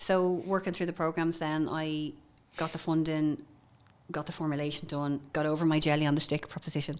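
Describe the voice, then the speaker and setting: With a Dublin accent, a woman speaks at a fairly quick pace in a very deep, low voice with monotone, flat intonation. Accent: Dublin Irish. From Ireland, Dublin north side. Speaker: entrepreneur, former pharmacist. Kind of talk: podcast interview.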